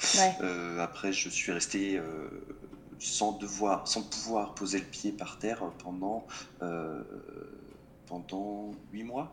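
Over noticeable background noise, a man speaks at a very slow pace with long, frequent pauses. His pitch is fairly low, with ordinary variation. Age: 20s. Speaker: motorcyclist sharing accident story. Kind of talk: casual chat.

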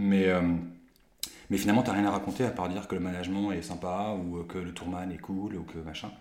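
A man speaks with a very deep, low pitch at a fairly quick pace, leaving long, frequent pauses. His intonation is fairly even, and room echo is audible. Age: 30s. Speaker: photographer. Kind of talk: casual interview.

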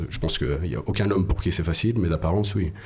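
With audible room echo around him, a man speaks at a very deep, low pitch and with fairly even intonation. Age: 30s. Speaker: podcast co-creator sharing personal story. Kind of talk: casual interview.

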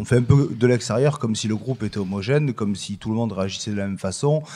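Recorded very cleanly against a silent background, a man with a medium-pitched, dark, mellow voice speaks at a very fast pace with ordinary pitch variation. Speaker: political science professor. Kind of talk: panel discussion.

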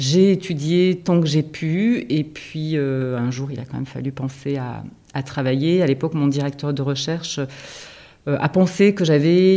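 Her tone is dark and mellow, and her pitch is very deep and low for a woman. She talks at a very slow pace with ordinary pitch variation. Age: 50s. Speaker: guesthouse director, former teacher. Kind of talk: interview. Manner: halting, with frequent repetitions and fillers.

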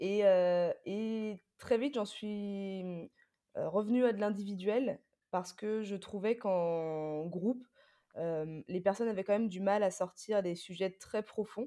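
At a very slow pace, a woman speaks in a dark, mellow tone at medium pitch with ordinary pitch variation. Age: 20s. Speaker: fitness coach and trainer. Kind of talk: interview.

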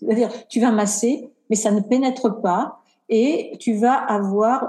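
A woman speaks at a very slow pace. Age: 50s. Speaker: cosmetic engineer and skincare brand founder. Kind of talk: casual interview.

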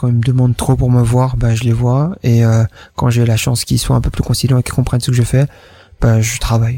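A somewhat breathy man's voice, dark and mellow in tone, with a medium pitch and fairly even intonation. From Wallonia, Belgium (Namur province). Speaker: entrepreneur. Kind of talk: interview. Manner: hesitant, many fillers.

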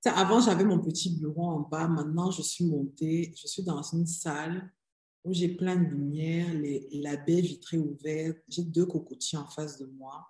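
This woman has a fairly low, somewhat breathy voice with a dark, mellow tone. She speaks at a fairly slow pace with fairly even intonation. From Cameroon. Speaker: business strategy consultant. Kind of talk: interview conversation.

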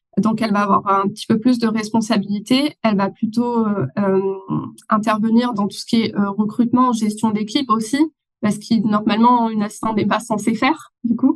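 A woman speaks in a fairly high, somewhat breathy voice with fairly even intonation. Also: moderate pace. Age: 30s. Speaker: online business manager. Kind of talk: interview.

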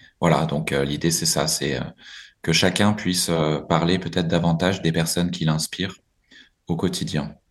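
With vocal fry, a man speaks at a very deep, low pitch with ordinary pitch variation. His moderate pace is broken by long, frequent pauses. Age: 40s. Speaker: executive of a nonprofit group. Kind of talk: interview. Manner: halting, with many repetitions and fillers.

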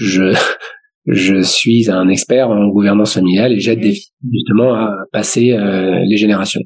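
With an ordinary speaking voice, a man talks at a fairly low pitch and keeps his loudness very even. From Paris suburbs, France. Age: 40s. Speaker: family business governance consultant. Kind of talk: casual interview. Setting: remote recording from home.

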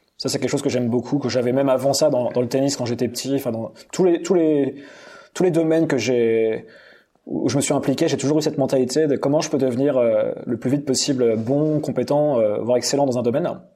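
This man's pitch sits fairly high. He moves at a fairly quick pace with fairly even intonation. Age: 30s. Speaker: entrepreneur coach and content creator. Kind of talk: podcast interview. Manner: hesitant, repeats words.

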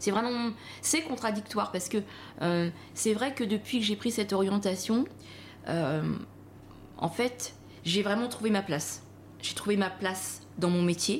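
At a fairly slow pace, a woman speaks in a somewhat breathy, medium-pitched voice, with ordinary pitch variation, very even loudness and long, frequent pauses. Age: 40s. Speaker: pastry chef. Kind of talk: interview.

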